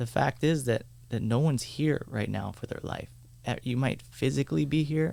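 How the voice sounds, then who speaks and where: The man's tone is dark and mellow. His pitch varies an ordinary amount. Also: moderate pace. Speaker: meditation teacher. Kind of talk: casual chat.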